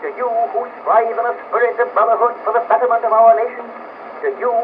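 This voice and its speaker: With an American accent, a man speaks at an extremely high pitch. Noticeable background noise is present. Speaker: politician, former U.S. president. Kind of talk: political speech. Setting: old historical recording.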